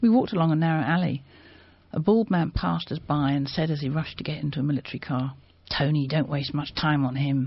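Somewhat breathy delivery at a very fast pace, with ordinary pitch variation. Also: woman. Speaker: publisher reading aloud. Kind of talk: reading aloud. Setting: studio.

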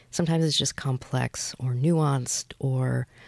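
Here a woman speaks in a Midwestern American accent. The recording is very clean with a silent background, and the sound is dry and close, with no echo. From US Midwest, Michigan (Flint, Troy). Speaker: writer and professor. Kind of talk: radio interview. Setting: radio studio.

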